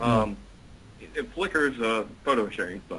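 This man's pitch is medium, and it rises and falls in an ordinary way. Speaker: online marketer. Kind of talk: interview. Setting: online call.

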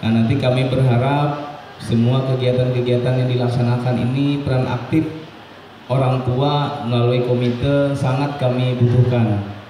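At a moderate pace, a man speaks in a monotone, flat intonation with audible room echo and light background noise. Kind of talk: welcome speech. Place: hall.

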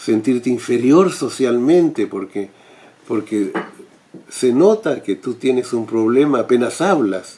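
Speaking at a very slow pace, a man uses lively intonation. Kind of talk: direct-to-camera talk. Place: home room.

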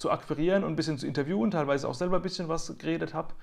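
A man talks with vocal fry and ordinary pitch variation. The background is quiet. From Mannheim, Germany; Germany. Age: 30s. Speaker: nature photographer; interviewee. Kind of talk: interview. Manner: frequent hesitations. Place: home room. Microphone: earbuds.

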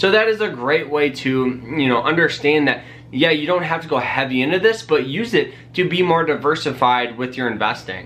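A man at a fairly high pitch, upbeat and energetic, with lively intonation, a moderate pace and hardly any pauses. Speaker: personal finance YouTuber. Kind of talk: casual vlog tutorial. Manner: upbeat, energetic. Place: home room.

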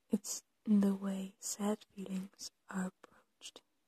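Soft-spoken and gentle in tone, the speaker goes at a very slow pace in a dry sound with no echo and a quiet background. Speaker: ASMR creator. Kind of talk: ASMR supportive soft-spoken talk to camera. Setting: poor audio quality, home recording. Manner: soft-spoken, gentle, comforting. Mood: gentle, comforting.

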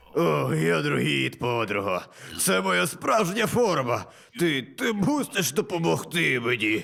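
A man puts on a character voice, talking fairly slowly in a medium pitch. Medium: fan dub. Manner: wheedling, pleading.

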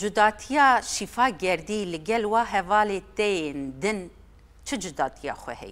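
Lively intonation carries this woman's speech. She moves at a fairly slow pace. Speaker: TV presenter. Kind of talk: panel discussion remembering a colleague. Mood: solemn, respectful. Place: studio.

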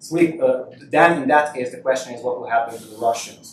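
The man speaks at a fairly quick pace. There is audible room echo and light background noise. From Hungary. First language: Hungarian. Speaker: university lecturer; guest lecturer. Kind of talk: lecture. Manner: halting. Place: hall. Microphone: podium.

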